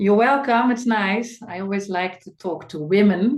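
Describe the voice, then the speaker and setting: The speaker has a Dutch accent and a moderate pace. Pitch variation is ordinary. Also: woman. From Netherlands. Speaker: medical doctor, women's health expert. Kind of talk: webinar talk. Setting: online webinar. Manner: hesitant, many fillers.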